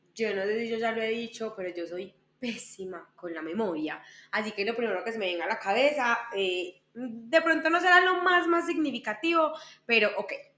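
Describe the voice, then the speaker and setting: A woman with an Antioquian accent, fairly high-pitched and bright and sharp in tone, at a moderate pace with very wide pitch swings. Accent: Colombian paisa Spanish. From Colombia, Medellín. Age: 20s. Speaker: lawyer and entrepreneur, podcast co-host. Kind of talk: casual interview chat among friends.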